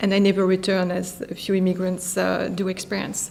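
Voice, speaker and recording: A woman speaks at a medium pitch and a fairly quick pace. Her intonation is monotone and flat. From France. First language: French. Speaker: physician and tech company founder. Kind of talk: interview. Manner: hesitant, many fillers.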